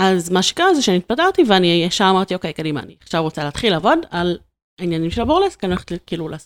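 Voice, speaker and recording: A woman talks very fast in a fairly low pitch with ordinary pitch variation. The sound is dry and close, with no echo. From Israel, Ramat Gan. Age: 30s. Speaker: video marketing entrepreneur. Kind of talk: casual interview.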